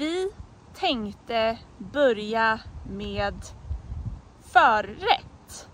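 Speaking at a very slow pace with long, frequent pauses, a woman's voice swings very widely in pitch, the sound dry with no echo over light background noise. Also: fairly high pitch for a woman. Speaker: Swedish language teacher. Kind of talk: language lesson example phrases. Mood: friendly, smiling. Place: forest. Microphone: phone near.

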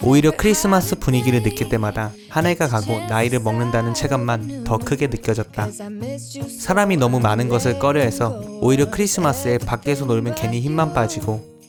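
Over music in the background, a man talks at a medium pitch and a fairly quick pace, with lively intonation and very even loudness. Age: 20s. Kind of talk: vlog voice-over narration. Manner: calm, soothing.

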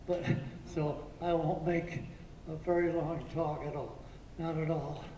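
A man speaks at a fairly slow pace in a high, flat monotone. Light background noise and audible room echo are present. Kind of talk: short thank-you speech. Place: hall.

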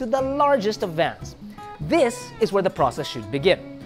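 A man talks at a moderate pace while music plays clearly behind him. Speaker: show host. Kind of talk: commentary. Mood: humorous, joking. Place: studio.

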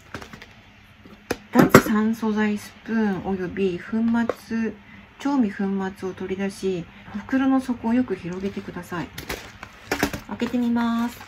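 A woman speaking at a very slow pace amid noticeable background noise. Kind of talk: casual vlog chat. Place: home room. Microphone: phone near.

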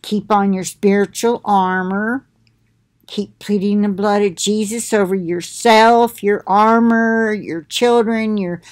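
Speaking at a very slow pace with fairly even intonation, a woman is heard against a quiet background. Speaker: religious vlogger. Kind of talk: casual spiritual talk to viewers. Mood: earnest, preaching. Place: home room. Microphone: webcam.

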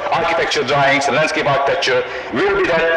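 A man with a Hungarian accent amid loud background noise. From Hungary. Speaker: professor of landscape architecture. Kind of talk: lecture. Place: hall. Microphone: old recording.

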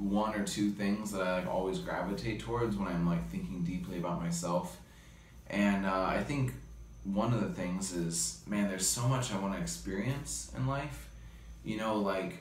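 Light background noise and audible room echo surround a man speaking at a moderate pace in a very deep, low voice. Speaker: interviewee. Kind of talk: interview answer. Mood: reflective, earnest. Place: home room. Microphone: phone near.

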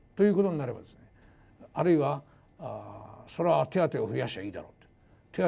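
This man's voice has a dark, mellow tone with vocal fry and very wide pitch swings. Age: 60s. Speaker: university professor of economics. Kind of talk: lecture. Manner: formal. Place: hall. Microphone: lapel.

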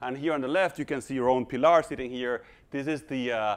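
His pitch shifts in an ordinary manner. The man speaks fairly quickly. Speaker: invited lecturer. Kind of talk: lecture. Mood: light, joking. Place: hall.

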